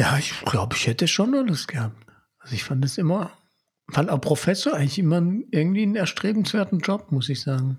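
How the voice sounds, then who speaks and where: Fairly quick male speech, fairly high in pitch, with very wide pitch swings. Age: 40s. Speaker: podcast host, father and former history teacher. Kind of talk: casual chat.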